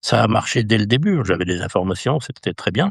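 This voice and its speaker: The man's fairly quick speech has a dry, close sound with no echo. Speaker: equestrian endurance race announcer. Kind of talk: interview answer.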